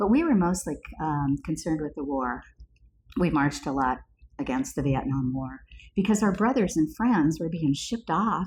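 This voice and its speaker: In an American accent, a woman talks at a moderate pace with a very deep, low pitch. Her voice is somewhat breathy and makes very wide pitch swings. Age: 70s. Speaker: podcast co-host, healer and coach. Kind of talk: casual chat.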